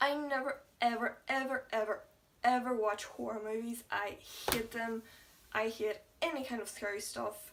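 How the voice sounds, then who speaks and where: Mumbling at a moderate pace, a woman speaks in a fairly high pitch with fairly even intonation. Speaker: YouTuber. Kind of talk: casual vlog chat.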